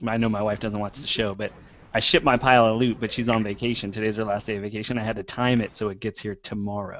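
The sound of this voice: In a raspy, put-on character voice, a man at medium pitch rattles along at a very fast pace with monotone, flat intonation against a quiet background.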